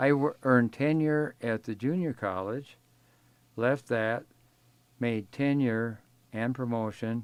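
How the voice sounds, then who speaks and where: Speaking at a very slow pace with long, frequent pauses, a man with an Upper Midwest accent keeps a medium pitch and ordinary pitch variation. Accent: Upper Midwest American. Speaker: retired professor. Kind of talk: oral history interview. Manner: halting.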